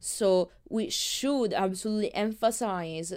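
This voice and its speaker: A woman speaks with a strong non-native accent at a very slow pace. The recording is very clean, with a silent background. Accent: thick non-native. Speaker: podcast host, filmmaker. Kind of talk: solo podcast monologue. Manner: hesitant, many fillers.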